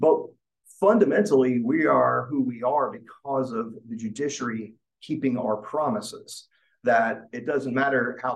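Delivered at a moderate pace, the speech carries vocal fry and comes with an American accent. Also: man. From Arkansas, US South. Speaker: judicial ethics expert. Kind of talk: panel discussion. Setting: video call.

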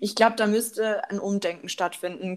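A very clean recording with a silent background, featuring a woman at a moderate pace. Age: young. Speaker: psychology student. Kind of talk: casual podcast discussion.

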